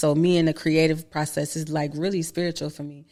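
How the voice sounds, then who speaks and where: A woman with a Florida accent talks at a fairly quick pace in a very deep, low pitch. The recording is very clean, with a silent background. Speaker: rapper and actress. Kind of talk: podcast interview. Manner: casual, slangy.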